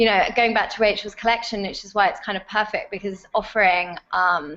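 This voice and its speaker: A woman with a British accent, medium pitch, bright, sharp tone, fairly even intonation, big swings in loudness and a fairly quick pace, over a quiet background. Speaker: fashion retail executive. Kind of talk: casual chat.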